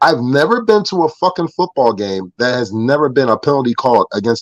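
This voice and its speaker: Delivered with an animated tone in an American accent, the speech moves at a fairly quick pace with very wide pitch swings. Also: man, dry, close sound with no echo. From northern US. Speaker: football fan guest on a fan show. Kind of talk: casual chat.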